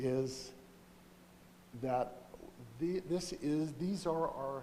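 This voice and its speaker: The man's voice is quiet, with a fairly high pitch and ordinary pitch variation. Audible room echo surrounds it. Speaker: mayor. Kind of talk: council meeting address. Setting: council chamber with mic, streamed online. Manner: quiet, hard to hear.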